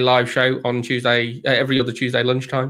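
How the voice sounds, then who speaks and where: This man's voice has a bright tone. It sounds sharp. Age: middle-aged. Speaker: DevOps consultant. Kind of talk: casual tech chat on live stream. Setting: live stream.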